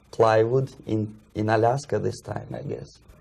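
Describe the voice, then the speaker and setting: The speaker has a Russian accent and a fairly slow pace. The intonation stays fairly even. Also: man. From Russia (USSR), Moscow. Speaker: former Soviet journalist and defector. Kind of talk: interview. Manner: halting.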